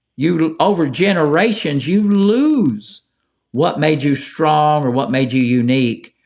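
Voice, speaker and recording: A man's fairly high voice with an Appalachian accent, his loudness very even. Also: lively intonation. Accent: Appalachian American. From Appalachia (Ohio-born hillbilly). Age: old. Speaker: call-in show host. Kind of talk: live call-in talk show. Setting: live stream. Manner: casual, halting.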